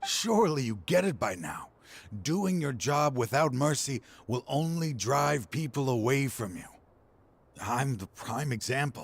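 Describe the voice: A man does a put-on character voice at medium pitch with vocal fry. He talks at a fairly slow pace, and his pitch swings widely.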